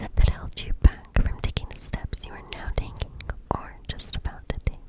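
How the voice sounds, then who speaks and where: Noticeable background noise surrounds a woman who is whispering. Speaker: ASMR artist. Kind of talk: oracle card reading. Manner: whispered.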